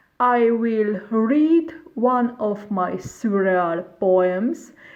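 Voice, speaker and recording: A woman with a fairly high pitch talks very slowly, her intonation lively. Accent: Hungarian. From Romania, Bucharest. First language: Hungarian. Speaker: poet. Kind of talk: reading introduction.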